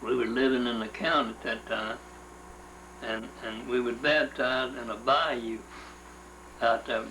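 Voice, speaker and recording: A man with a Louisiana accent speaks at a medium pitch with fairly even intonation. There is audible room echo and noticeable background noise. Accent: Louisiana Southern US. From US South. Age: 70s. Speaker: interviewee recounting family history. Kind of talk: oral history interview. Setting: at home. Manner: halting.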